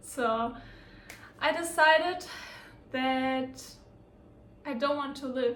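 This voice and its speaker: A woman speaks at a very slow pace in a German accent, her voice pitched high. Her pitch varies in an ordinary way, and the room echo is audible. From Germany. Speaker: lifestyle vlogger. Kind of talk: personal storytelling vlog. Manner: casual, with hesitations.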